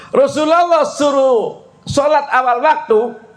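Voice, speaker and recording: A man's voice with audible room echo. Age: 60s. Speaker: Islamic preacher. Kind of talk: sermon. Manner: animated.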